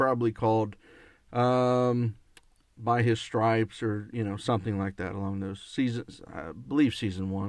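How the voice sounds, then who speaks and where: A man with an American accent, a normal speaking voice, medium pitch, ordinary pitch variation and a moderate pace. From northern US. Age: 40s. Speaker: bible teacher podcaster. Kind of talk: bible teaching.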